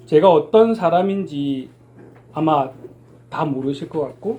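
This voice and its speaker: A man with a Busan accent speaks in a somewhat breathy, dark, mellow tone at a fairly high pitch, with lively intonation. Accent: Busan dialect (Gyeongsang). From Busan, Korea. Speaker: sign language praise performer, church deacon. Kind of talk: testimony.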